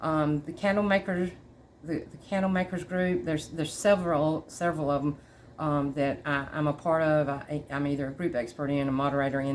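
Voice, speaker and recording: A woman with a Southern US accent and a very deep, low pitch talks at a fairly quick pace with ordinary pitch variation. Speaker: candle maker tutor. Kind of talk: tutorial. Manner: halting, many fillers; casual.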